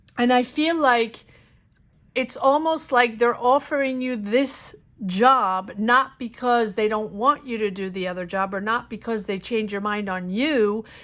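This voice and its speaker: Speaking in a normal speaking voice at a fairly high pitch with ordinary pitch variation, a woman talks at a fairly slow pace on a very clean recording with a silent background. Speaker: tarot reader. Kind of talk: tarot reading monologue. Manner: casual, with fillers.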